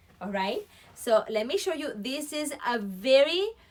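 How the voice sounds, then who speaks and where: A woman speaks in a raised, projected voice at a very slow pace. Her pitch is high, and her tone is bright and sharp. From Puerto Rico. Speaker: fashion livestream presenter. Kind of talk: live product demonstration. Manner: casual, chatty.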